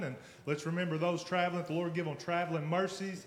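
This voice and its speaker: Fairly quick speech in a Southern US accent. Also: man. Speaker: pastor. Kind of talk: sermon. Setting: church.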